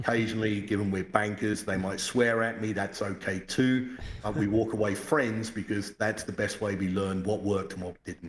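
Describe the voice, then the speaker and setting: Monotone, flat intonation at a moderate pace, with an English accent. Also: man. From England, London. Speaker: financial sector executive. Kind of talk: podcast interview.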